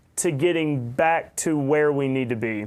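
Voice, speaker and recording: A man speaks in an American accent with lively intonation. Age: 30s. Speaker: podcast host. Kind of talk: interview.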